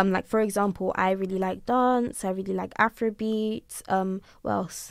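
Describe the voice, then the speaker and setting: In an ordinary speaking voice, a woman with a medium pitch talks at a moderate pace with fairly even intonation on a very clean recording with a silent background. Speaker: university student, society secretary. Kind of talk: casual podcast chat. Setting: informal two-person podcast recording.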